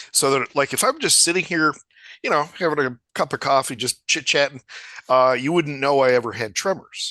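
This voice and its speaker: Against a quiet background, a man with an American accent speaks in a bright, sharp tone at a fairly high pitch, with fairly even intonation and a dry, close sound with no echo. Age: 60s. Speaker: podcast host. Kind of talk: interview. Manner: halting.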